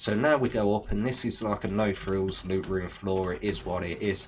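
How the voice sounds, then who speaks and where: The intonation stays fairly even. The speaker has an English Midlands accent. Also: man. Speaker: video game youtuber. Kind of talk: gameplay tutorial. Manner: casual.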